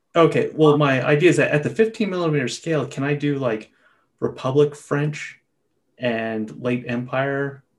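An ordinary speaking voice from a man, fairly high-pitched, with ordinary pitch variation and a fairly slow pace. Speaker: podcast host. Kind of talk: casual chat.

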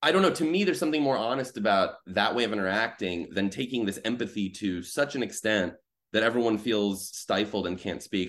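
In a plain, everyday voice, a man with an American accent speaks at a fairly quick pace and fairly low pitch with ordinary pitch variation. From US Midwest. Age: 30s. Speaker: journalist. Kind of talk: casual chat.

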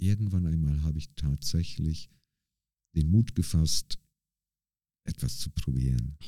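In a dry, close recording with no echo, a man with a very deep, low voice and a dark, mellow tone talks at a fairly slow pace, with ordinary pitch variation, long, frequent pauses and big swings in loudness. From northern Germany, Bremerhaven. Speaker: street dancer. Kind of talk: interview conversation.

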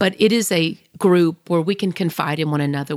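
The recording is very clean with a silent background, and the sound is dry and close with no echo. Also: woman. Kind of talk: faith-based monologue. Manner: loud; animated.

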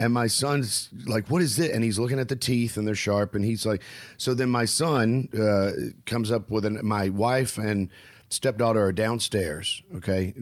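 This man talks at a medium pitch with ordinary pitch variation and very even loudness. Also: moderate pace. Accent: Southern US. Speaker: stand-up comedian and podcast host. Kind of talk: casual chat. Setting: video call.

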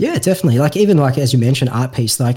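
Recorded very cleanly against a silent background, a man with a medium pitch sounds somewhat breathy, with a dark, mellow tone. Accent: Australian. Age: 30s. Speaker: podcast host. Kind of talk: casual chat.

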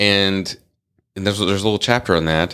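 A bright, sharp voice with vocal fry and lively intonation speaks in an American accent on a very clean recording with a silent background. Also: man. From US Midwest, North Dakota. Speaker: podcast co-host. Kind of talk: casual chat.

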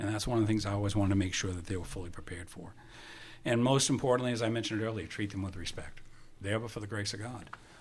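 Speaking at a very fast pace with an American accent, a man has a fairly low, somewhat breathy voice and fairly even intonation. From Maine, US. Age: 70s. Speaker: retired fire marshal and academy director. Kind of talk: casual interview, storytelling. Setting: studio.

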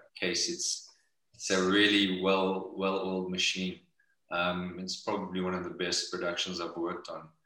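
A man with a South African accent speaks at a moderate pace. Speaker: actor. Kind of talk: casual interview chat. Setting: video call.

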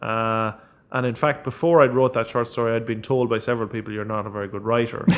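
With an Irish Midlands accent, a man talks very fast at a medium pitch, his intonation fairly even. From Ireland, County Longford. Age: 30s. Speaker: author. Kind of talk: interview.

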